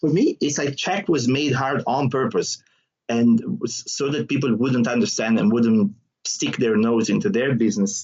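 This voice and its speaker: A man speaks with an Italian accent at medium pitch. His intonation is lively and his pace is moderate. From southern Italy. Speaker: trainer and stand-up comedian. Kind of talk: podcast interview.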